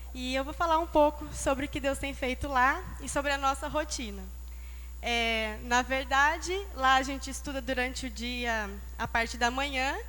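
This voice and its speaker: Speech at a moderate pace with audible room echo. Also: woman. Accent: São Paulo interior. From interior of São Paulo state, Brazil. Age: young. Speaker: Bible school student. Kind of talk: testimony. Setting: church.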